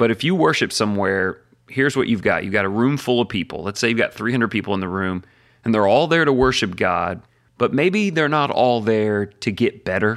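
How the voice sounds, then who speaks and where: On a very clean recording with a silent background, a man with a normal speaking voice at medium pitch talks at a fairly quick pace with lively intonation. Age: 40s. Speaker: podcaster and pastor. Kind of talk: casual chat.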